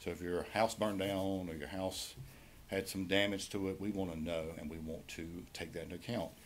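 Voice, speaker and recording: A man's very deep, low voice in a North Carolina accent, fairly quick and monotone, with audible room echo. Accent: Southern American (North Carolina). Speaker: county tax assessor presenting to commissioners. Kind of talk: public meeting presentation. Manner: fast.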